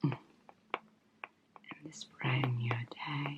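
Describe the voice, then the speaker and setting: A soft-spoken woman talks at a very slow pace. Noticeable background noise can be heard. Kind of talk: ASMR makeup unboxing and swatching. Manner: soft-spoken, relaxing.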